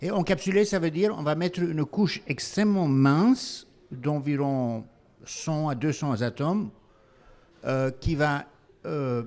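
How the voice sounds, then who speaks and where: A man's fairly high-pitched voice with lively intonation, at a very slow pace with long, frequent pauses. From Belgium. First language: not French (speaking French). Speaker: company founder and CEO. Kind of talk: panel discussion.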